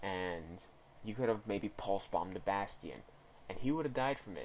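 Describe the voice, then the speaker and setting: The pitch shows ordinary variation. The pace is fairly quick. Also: man. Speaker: gaming coach reviewing gameplay. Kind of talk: video game replay review. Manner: rambling, hesitant.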